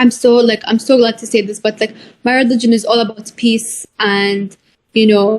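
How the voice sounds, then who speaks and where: With an Arabic accent, a woman speaks at a moderate pace in a fairly high voice with monotone, flat intonation. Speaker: author of a children's book. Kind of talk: interview. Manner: hesitant, many fillers.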